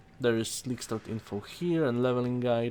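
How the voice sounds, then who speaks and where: A man with a non-native accent speaks at medium pitch. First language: not English. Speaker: gaming content creator. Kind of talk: tutorial. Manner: halting, stumbling over words.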